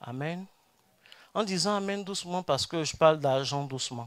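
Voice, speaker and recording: Recorded very cleanly against a silent background, a man talks with a fairly high pitch and ordinary pitch variation. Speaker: pastor. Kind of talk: sermon. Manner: soft-spoken; emphatic prophetic declarations.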